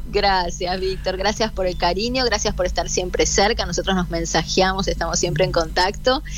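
With a Rioplatense accent, the speaker keeps a moderate pace amid noticeable background noise and audible room echo. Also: woman. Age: 40s. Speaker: daughter of a late comedian. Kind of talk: radio interview.

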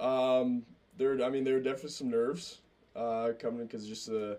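A man talks at a very fast pace with fairly even intonation. His tone is dark and mellow. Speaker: college baseball player. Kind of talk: casual chat.

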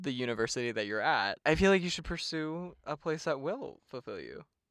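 A man's unremarkable speaking voice with lively intonation at a moderate pace, dry and close with no echo, on a very clean recording with a silent background. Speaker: podcast co-host, college student. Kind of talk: casual chat. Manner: laughs often, casual.

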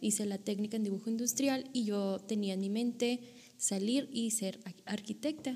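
A woman with a plain, everyday voice speaks at a fairly slow pace, her pitch fairly high and its variation ordinary. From Monterrey, Nuevo León, northern Mexico. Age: 20s. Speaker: author and theology student. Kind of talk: casual interview.

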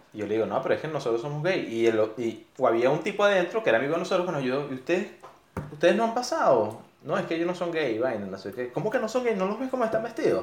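In a room with audible echo and noticeable background noise, a man talks at a very fast pace in a high voice with very wide pitch swings. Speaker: podcast co-host. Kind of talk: casual chat.

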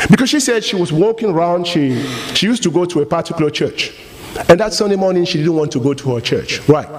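A man's high-pitched voice with very wide pitch swings at a very fast pace, over noticeable background noise. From Cameroon. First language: French. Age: 40s. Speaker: guest preacher. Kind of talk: sermon. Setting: church with congregation. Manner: animated.

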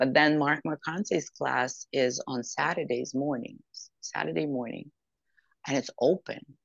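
A woman's very deep, low voice with vocal fry, fairly slow in pace and ordinary in pitch variation. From Ukraine, Odessa. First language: Russian or Ukrainian. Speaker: actress and singer. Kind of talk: interview.

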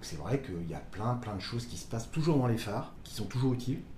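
A man's mid-pitched voice carries audible echo from the room. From Brittany, Côtes d'Armor. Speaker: lighthouse enthusiast on social media. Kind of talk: casual interview. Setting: indoors, lighthouse kitchen. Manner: halting.

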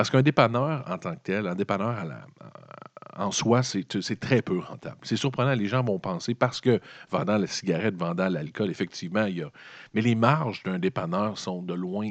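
Over a quiet background, a man with a Quebec accent speaks at a moderate pace in a fairly low pitch with lively intonation. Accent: Québécois French. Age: 40s. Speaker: podcast host. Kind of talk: solo commentary podcast. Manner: halting, with repetitions.

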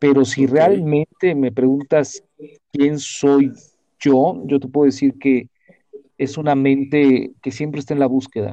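This man's tone is dark and mellow, with a fairly high pitch. He speaks at a fairly slow pace with fairly even intonation. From Mexico. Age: 30s. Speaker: classical singer and author. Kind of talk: casual interview conversation.

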